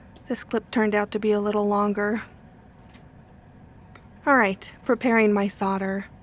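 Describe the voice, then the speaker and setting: Speaking at a moderate pace, a woman with a medium pitch keeps a relaxed tone and a flat, monotone intonation. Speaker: silversmith. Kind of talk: casual tutorial narration.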